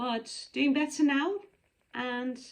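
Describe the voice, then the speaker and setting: A woman speaks at a fairly slow pace. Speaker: cross-stitch vlogger. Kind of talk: casual show-and-tell vlog.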